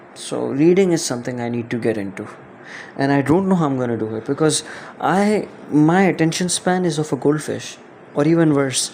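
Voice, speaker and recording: A man's fairly high voice with a non-native accent, moderate pace and ordinary pitch variation, against noticeable background noise. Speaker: podcast host, writer. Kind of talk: solo podcast monologue. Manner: casual, hesitant with fillers.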